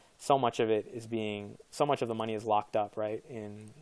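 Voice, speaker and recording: A man's fairly low voice with monotone, flat intonation. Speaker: crypto investment YouTuber. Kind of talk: casual video commentary. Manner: fast; hesitant, many fillers.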